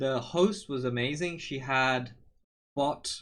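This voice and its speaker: This man speaks at a fairly high pitch with ordinary pitch variation against a quiet background. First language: Portuguese. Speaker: streamer. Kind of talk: casual storytelling. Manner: casual, with fillers.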